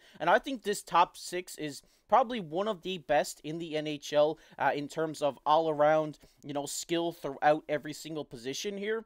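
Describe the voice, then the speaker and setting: With a strong Newfoundland accent, a man talks at a moderate pace in a fairly high voice, on a very clean recording with a silent background and a dry, close sound with no echo. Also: ordinary pitch variation. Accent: thick Newfoundland. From Newfoundland, Canada. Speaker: hockey YouTuber. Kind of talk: casual commentary monologue. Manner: hesitant, many fillers.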